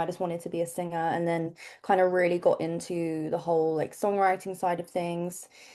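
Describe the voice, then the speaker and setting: The speaker is a woman with an English accent. She talks at a moderate pace. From England. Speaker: pop singer. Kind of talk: interview answer. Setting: video call.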